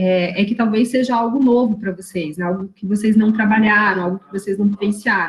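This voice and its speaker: Against noticeable background noise, a woman speaks at a fairly quick pace with hardly any pauses, at a medium pitch with fairly even intonation and big swings in loudness. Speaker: university lecturer. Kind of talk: online lecture. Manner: fast.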